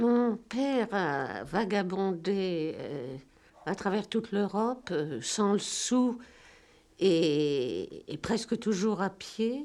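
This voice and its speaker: Lively intonation marks this woman's medium-pitched voice as she speaks at a very slow pace. The recording is very clean, with a silent background. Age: 70s. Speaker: novelist. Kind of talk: interview monologue. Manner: halting.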